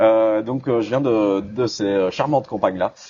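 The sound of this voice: Speaking in a fairly low pitch with a dark, mellow tone, a man keeps a moderate pace and ordinary pitch variation.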